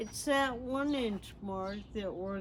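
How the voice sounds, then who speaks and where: A woman's medium-pitched voice at a very slow pace, with ordinary pitch variation and audible room echo. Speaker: backyard gardener. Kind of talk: tutorial. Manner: halting, slurred speech from a progressive brain disease.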